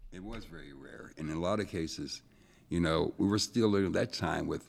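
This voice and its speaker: With an American accent, the speaker keeps a moderate pace and ordinary pitch variation. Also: man. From Erie, Pennsylvania. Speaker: retired city official. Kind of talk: studio discussion. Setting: studio.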